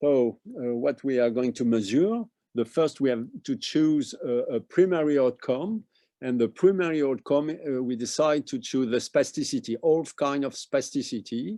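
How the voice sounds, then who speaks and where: Over a quiet background, a man with a French accent and a dark, mellow tone speaks at a moderate pace, his fairly high pitch carrying lively intonation. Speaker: medical researcher. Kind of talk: conference presentation. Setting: webinar. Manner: halting.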